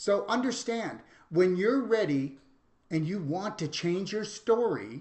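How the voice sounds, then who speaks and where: A man speaks in an animated tone at a fairly slow pace. His intonation is lively. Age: 60s. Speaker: pain therapy practitioner and teacher. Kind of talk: live presentation and demonstration. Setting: live stream.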